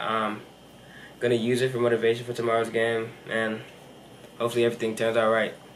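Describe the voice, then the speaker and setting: He speaks at a very fast pace. Light background noise can be heard. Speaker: college athlete vlogger. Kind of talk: casual vlog chat. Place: home room. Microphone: camera far.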